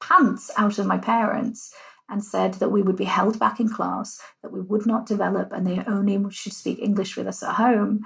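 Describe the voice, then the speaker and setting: This woman speaks at a medium pitch with vocal fry. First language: Punjabi. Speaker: cultural heritage organiser. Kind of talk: interview conversation. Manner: animated.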